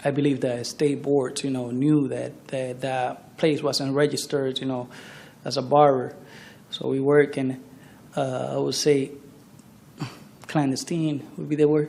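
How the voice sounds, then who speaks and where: Fairly slow, monotone, flat speech from a man with a fairly high pitch, broken by long, frequent pauses, with audible room echo. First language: not English. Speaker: trial witness, barber. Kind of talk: courtroom testimony. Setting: courtroom. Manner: halting.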